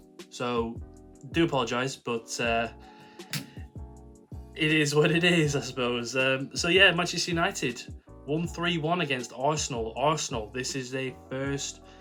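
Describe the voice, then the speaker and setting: Music plays in the background as a man talks with long, frequent pauses. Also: fairly high pitch for a man, ordinary pitch variation. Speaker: football YouTuber. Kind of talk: casual football talk to camera.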